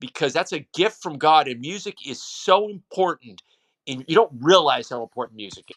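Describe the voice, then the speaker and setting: On a very clean, dry, close recording with a silent background and no echo, a man speaks at a moderate pace in an animated tone, with lively intonation and big swings in loudness. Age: 60s. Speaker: high school football broadcaster. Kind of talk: casual chat.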